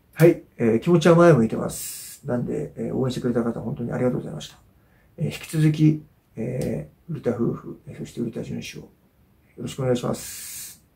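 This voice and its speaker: A man with a dark, mellow tone and vocal fry speaks fairly quickly. His loudness swings a lot. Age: 40s. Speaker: YouTuber and amateur fighter; YouTuber. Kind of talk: casual monologue video update; casual vlog chat. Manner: hesitant, many filler sounds. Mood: calm, reflective after a loss. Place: home room. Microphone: camera far.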